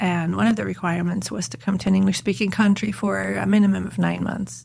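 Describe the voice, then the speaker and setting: Vocal fry runs through a woman's fairly low-pitched voice as it makes very wide pitch swings. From Netherlands and Switzerland. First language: German. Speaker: university Spanish professor. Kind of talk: podcast interview.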